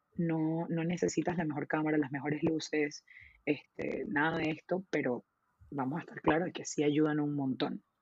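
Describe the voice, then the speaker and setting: The pitch of this woman's voice is very deep and low. She keeps a moderate pace. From Venezuela. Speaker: photographer. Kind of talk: casual interview.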